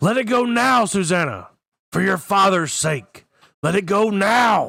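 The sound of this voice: A man's put-on character voice, shouting at a high pitch with vocal fry, a bright, sharp tone, lively intonation and slow pace, in a very clean recording with a silent background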